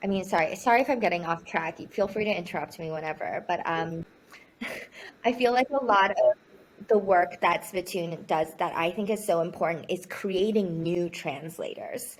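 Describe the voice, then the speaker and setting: A voice with a Chinese accent and ordinary pitch variation. It moves at a moderate pace. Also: woman, medium pitch for a woman. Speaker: poet and magazine editor. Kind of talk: casual conversational interview. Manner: hesitant, with frequent restarts.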